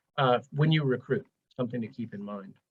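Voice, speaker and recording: A man's somewhat breathy voice carries lively intonation. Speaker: transportation program manager, webinar presenter. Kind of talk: webinar presentation. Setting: live webinar, video call. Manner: fast.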